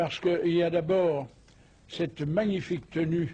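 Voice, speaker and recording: A somewhat breathy male voice at a very slow pace. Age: 80s+. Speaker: former grand master of a masonic order. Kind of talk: interview. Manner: hesitant with frequent fillers.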